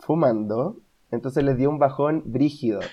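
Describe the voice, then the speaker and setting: A man speaks with a Chilean accent. His pitch is fairly high. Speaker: podcast co-host. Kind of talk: casual chat.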